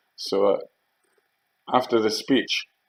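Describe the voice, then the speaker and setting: Delivered at a moderate pace with a Geordie accent, the speech has a dry, close sound with no echo. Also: man. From Northeast England. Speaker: storyteller recalling past.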